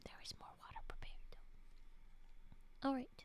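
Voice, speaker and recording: The speaker whispers. The voice is soft-spoken. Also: woman. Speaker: streamer reading spooky stories. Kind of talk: casual chat with reading aloud. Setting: live stream. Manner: whispering.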